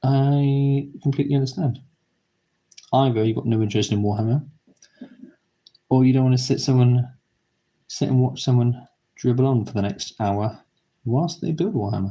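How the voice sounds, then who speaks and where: At a moderate pace with long, frequent pauses, a man with a British accent speaks at a medium pitch in a relaxed, somewhat breathy, dark and mellow tone. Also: ordinary pitch variation. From Britain. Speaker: YouTuber building model kits. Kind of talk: live stream commentary while building. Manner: casual, relaxed, with pauses.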